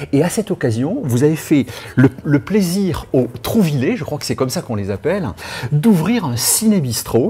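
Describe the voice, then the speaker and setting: With noticeable background noise behind him, a man speaks at a moderate pace in a fairly high voice that has very wide pitch swings. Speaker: radio interviewer. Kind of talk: radio interview questions.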